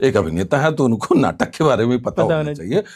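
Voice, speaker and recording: A man is speaking. His pitch swings very widely. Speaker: news anchor and theatre actor. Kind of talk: interview answer. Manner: casual, conversational.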